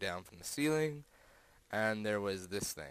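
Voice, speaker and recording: Quiet background behind a male speaker. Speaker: gaming video creator. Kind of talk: game walkthrough commentary. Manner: fast.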